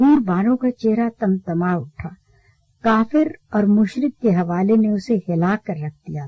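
Everything around the voice is quiet. What you hear is an unforced reading voice.

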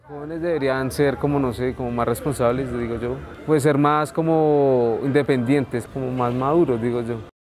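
A man at a moderate pace with hardly any pauses, big swings in loudness and fairly even intonation, over light background noise. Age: 20s. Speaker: market porter. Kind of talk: documentary interview. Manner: casual, hesitant. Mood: calm, a bit shy. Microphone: lapel.

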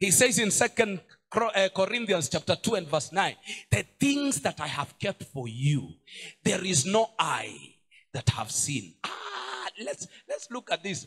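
Over a quiet background, a man speaks at a fairly slow pace. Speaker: pastor. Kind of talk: sermon. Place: church. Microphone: handheld.

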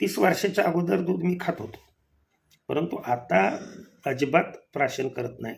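Vocal fry runs through this man's fairly high-pitched voice. His pitch swings very widely. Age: 60s. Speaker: kirtan singer and preacher. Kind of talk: home remedy tutorial.

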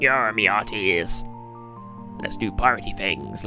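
Over music in the background, a man uses a put-on character voice, fairly low in pitch, at a moderate pace. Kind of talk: playful gameplay commentary.

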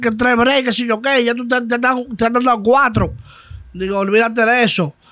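A man's high-pitched, bright and sharp voice at a very fast pace, with fairly even intonation, in dry sound with no echo over a quiet background. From Dominican Republic. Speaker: trap artist; guest. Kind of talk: casual interview. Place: studio. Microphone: studio mic.

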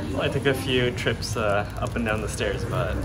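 With clear music in the background, this man speaks at a moderate pace. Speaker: travel vlogger. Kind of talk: casual vlog chat. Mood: cheerful, relaxed. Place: cafe. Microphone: phone near.

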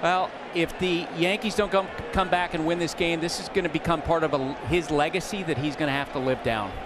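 A high-pitched man talks at a fairly quick pace with ordinary pitch variation. Music plays in the background. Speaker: baseball analyst and reporter. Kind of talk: live sports commentary. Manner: measured, storytelling analysis.

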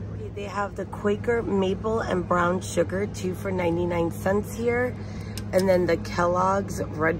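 Noticeable background noise sits under a dry, echo-free voice speaking at a fairly slow pace. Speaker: shopping vlogger. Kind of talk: casual vlog chat. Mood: upbeat, chatty. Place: shop. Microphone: phone near.

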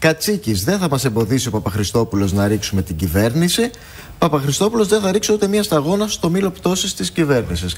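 Speaking at a fairly quick pace, a man with a fairly high, somewhat breathy voice makes very wide pitch swings. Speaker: TV news host. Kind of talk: TV interview.

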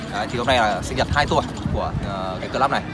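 A man speaks in a dry setting with no echo while clear music plays in the background. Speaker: motorbike club vlogger. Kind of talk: casual vlog chat. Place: street. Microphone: phone near.

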